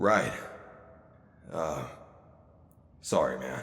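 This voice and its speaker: Raspy throughout, the speaker uses a put-on character voice. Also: man, fairly low pitch for a man. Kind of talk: audio drama. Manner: casual.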